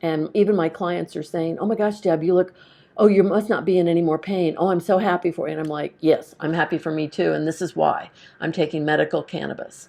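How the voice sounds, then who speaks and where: In an ordinary speaking voice, a woman talks at a fairly quick pace against a quiet background. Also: fairly low pitch for a woman, fairly even intonation. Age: 60s. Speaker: testimonial speaker, intuitive reader. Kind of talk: testimony.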